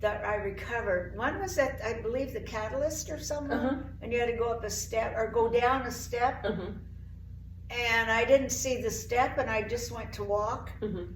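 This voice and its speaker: Speaking at a moderate pace with a high pitch and ordinary pitch variation, a woman with an American accent is heard over noticeable background noise. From Oregon, USA. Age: 80s+. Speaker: CrossFit member. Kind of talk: interview answer.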